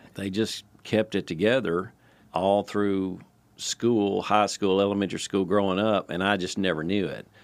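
On a very clean recording with a silent background, a man with a Tennessee accent speaks at a fairly low pitch in a monotone, flat way. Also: moderate pace. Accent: Southern US (Tennessee). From Nashville, Tennessee. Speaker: retired engineer and father. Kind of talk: storytelling in casual family chat. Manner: halting, many fillers and restarts.

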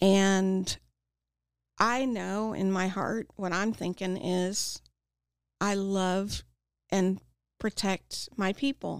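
At a very slow pace with long, frequent pauses, a woman with a Midwestern US accent and a medium pitch speaks in a monotone, flat intonation, dry and close with no echo on a very clean recording over a silent background. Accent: US Midwest. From Kansas, Topeka. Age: 40s. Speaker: addiction recovery speaker. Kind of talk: interview testimony. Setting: studio.

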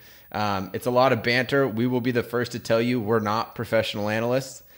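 In a Californian accent, a man speaks fairly quickly at a medium pitch with monotone, flat intonation. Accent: Californian American. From San Diego, US. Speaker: podcast host. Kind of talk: casual chat.

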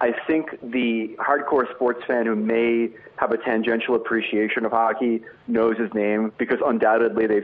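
Delivered at a moderate pace, the speech has a monotone, flat intonation and an American accent. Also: man. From New Jersey, US. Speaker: sports writer. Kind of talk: casual interview. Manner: halting with many repeated fillers.

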